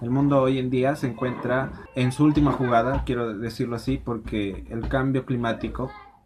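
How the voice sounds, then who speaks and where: A man's flat, monotone delivery at a medium pitch, with noticeable background noise. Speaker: podcast host. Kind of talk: interview. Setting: in person.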